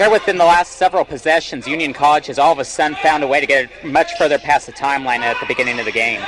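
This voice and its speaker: Recorded dry and close with no echo amid noticeable background noise, a man with a fairly high voice talks very fast with hardly any pauses. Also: ordinary pitch variation. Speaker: radio sports color commentator. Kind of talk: live radio sports color commentary.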